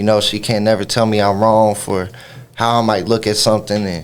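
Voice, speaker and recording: The speech moves at a moderate pace with monotone, flat intonation. Noticeable background noise sits behind it. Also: man. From Kentucky (Louisville, then Butler County/Bowling Green). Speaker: rapper. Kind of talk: radio interview. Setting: radio studio.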